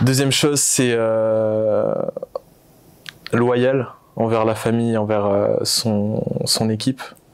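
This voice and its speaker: A man's medium-pitched voice, very slow with long, frequent pauses, monotone and flat, very even in loudness, over noticeable background noise. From Réunion (Saint-Pierre). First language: Réunion Creole (speaking French). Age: 20s. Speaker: entrepreneur. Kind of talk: interview. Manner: hesitant, many fillers.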